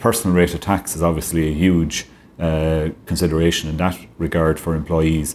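In a very clean recording with a silent background, a man with a western Irish accent talks in a monotone, flat delivery at a very deep, low pitch. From Ireland, County Clare. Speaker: tax advisor. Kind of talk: interview.

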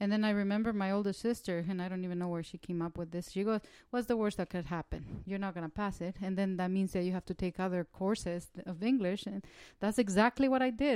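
In a Spanish accent, a woman speaks very fast at a medium pitch with ordinary variation and a dark, mellow tone, in a very clean, dry, close recording with a silent background and no echo. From El Salvador. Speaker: social worker.

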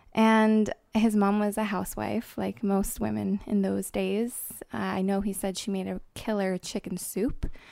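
A woman with a New Jersey accent talks at a fairly slow pace. The recording is very clean, with a silent background. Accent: American, New Jersey. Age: 20s. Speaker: granddaughter of Holocaust survivor sharing family search. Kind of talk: interview testimony.

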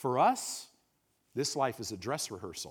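Vocal fry runs through an animated tone that swings very widely in pitch. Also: man. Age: 60s. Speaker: pastor. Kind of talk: sermon.

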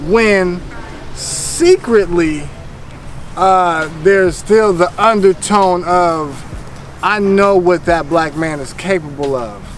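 Over noticeable background noise, a man talks at a very slow pace with a high pitch and ordinary pitch variation. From Northern California, Vallejo. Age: 30s. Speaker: podcast guest. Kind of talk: casual interview.

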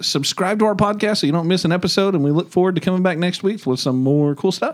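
A man with an American accent talks very fast with hardly any pauses. His pitch is high, with ordinary variation. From Oklahoma. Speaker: podcast host, education trainer. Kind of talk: casual podcast chat.

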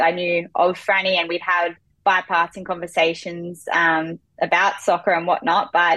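The speaker has an Australian accent and a moderate pace. The intonation is monotone and flat. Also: woman. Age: 20s. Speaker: footballer. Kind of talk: interview.

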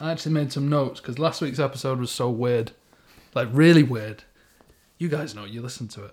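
Speaking in a Manchester accent at a fairly quick pace, a man with a medium pitch shows ordinary pitch variation, big swings in loudness and long, frequent pauses. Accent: Greater Manchester English. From Stockport, Greater Manchester, England. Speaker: football podcast co-host. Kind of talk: casual chat.

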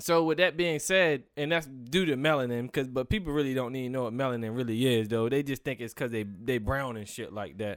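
A man with an American accent talks at a fairly quick pace in a medium pitch, with ordinary pitch variation and hardly any pauses, on a very clean recording with a silent background. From eastern shore of Maryland. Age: 20s. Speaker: podcast host. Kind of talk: casual chat. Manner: animated.

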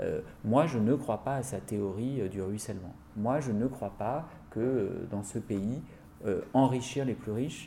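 A man's somewhat breathy, dark and mellow voice at a medium pitch, fairly slow, with ordinary pitch variation. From France, Seine-Saint-Denis (La Courneuve). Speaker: politician. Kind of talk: interview. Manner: hesitant with frequent fillers.

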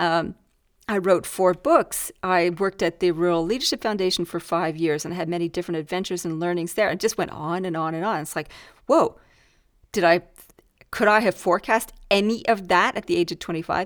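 A woman's fairly low voice at a fairly quick pace, with ordinary pitch variation, on a very clean recording with a silent background. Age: 50s. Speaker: leadership podcast host and coach. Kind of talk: casual solo podcast monologue. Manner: animated.

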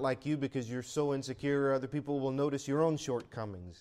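Speaking in a normal speaking voice, a man at medium pitch keeps a fairly quick pace and fairly even intonation. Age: 40s. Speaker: pastor. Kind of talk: sermon.

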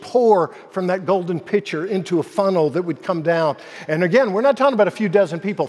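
The pitch moves in an ordinary way. The speaker is reading aloud in a natural voice.

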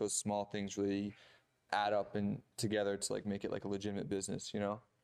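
Quiet background, a man with an American accent and a fairly low pitch. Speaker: film producer. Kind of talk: casual chat.

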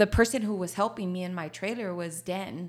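The tone is animated, in a Spanish accent. The recording is very clean, with a silent background. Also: woman. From Laredo, Texas. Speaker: coffee shop owner. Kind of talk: casual interview. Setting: studio. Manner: animated, frequent laughter.

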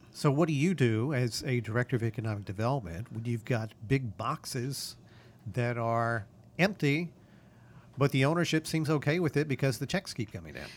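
On a very clean recording with a silent background, a man speaks in a normal speaking voice at a moderate pace, medium-pitched and with lively intonation. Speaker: podcast host. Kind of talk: casual interview.

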